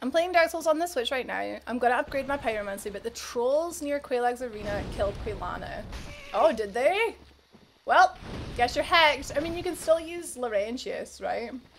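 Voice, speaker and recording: Faint music plays behind a woman with a high pitch. Her pitch swings very widely. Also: moderate pace. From Scotland. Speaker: game streamer. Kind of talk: casual livestream gaming commentary. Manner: chatty, upbeat.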